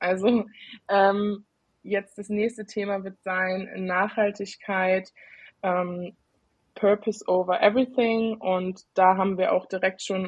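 A woman's medium-pitched voice, fairly slow and monotone, with flat intonation. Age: 20s. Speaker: IT consultant and student. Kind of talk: casual chat. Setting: video call.

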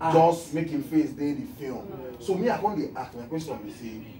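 A man speaks with a Nigerian accent. Audible room echo and light background noise surround his voice. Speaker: TV talk show host. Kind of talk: TV talk show hosting. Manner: playful, chatty. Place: studio.

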